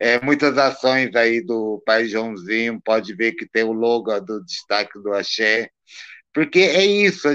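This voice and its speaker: A man's medium-pitched voice at a very slow pace, lively in intonation, over a quiet background. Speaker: Candomblé priest. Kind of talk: casual interview on a live stream.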